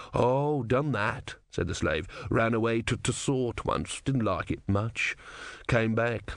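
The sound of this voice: This is an unforced reading voice. The intonation is fairly even.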